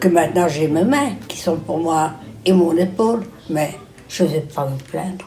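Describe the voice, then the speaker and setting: The speech is fairly slow with ordinary pitch variation. Music plays in the background, and an audible room echo is present. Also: woman, fairly low pitch for a woman. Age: 90s. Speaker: elderly care home resident interviewee. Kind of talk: interview testimony.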